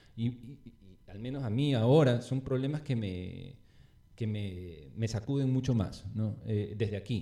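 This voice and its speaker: In a normal speaking voice, a man talks at a fairly slow pace with a medium pitch and ordinary pitch variation. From Ecuador, Guayaquil. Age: 40s. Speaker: urban artist. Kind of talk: casual chat. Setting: at his home.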